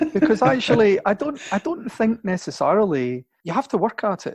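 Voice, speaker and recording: At a moderate pace, a man speaks with lively intonation in a dry, close recording with no echo. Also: quiet background. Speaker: singer in a band. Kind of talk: interview. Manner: halting, many restarts.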